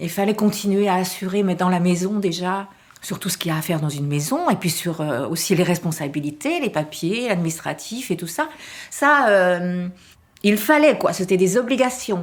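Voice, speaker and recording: Her intonation is lively as this woman speaks at a moderate pace. Her pitch is medium. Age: 60s. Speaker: retired volunteer. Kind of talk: interview. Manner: halting.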